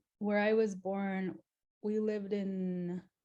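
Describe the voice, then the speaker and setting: With a slight Crow accent, a woman talks at a medium pitch and keeps her intonation fairly even. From Montana, Flathead Reservation. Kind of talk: interview. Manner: hesitant, many fillers.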